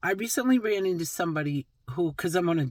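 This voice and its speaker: Fairly low-pitched female voice with lively intonation. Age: 60s. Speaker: vlogger. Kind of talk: casual talk to camera. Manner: animated.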